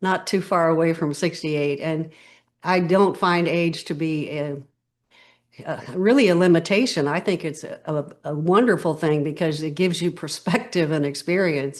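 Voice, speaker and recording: A woman with an unremarkable speaking voice talks at a moderate pace in an American accent. Her pitch is fairly low, with ordinary variation, over a quiet background. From California. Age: 60s. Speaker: podcast guest, stress coach. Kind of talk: interview conversation.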